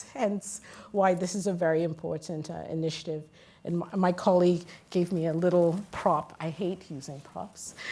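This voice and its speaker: Fairly low-pitched woman with an American accent, dark, mellow tone, moderate pace and fairly even intonation. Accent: sounds American. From Guyana. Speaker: women in mining advocate, panelist. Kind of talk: panel discussion. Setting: conference stage with audience.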